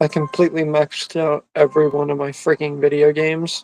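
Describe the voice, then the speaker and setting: A quiet voice speaks at a moderate pace with monotone, flat intonation in a dry, close sound with no echo. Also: man. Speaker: YouTuber streaming games and chatting. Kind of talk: casual live stream chat while gaming.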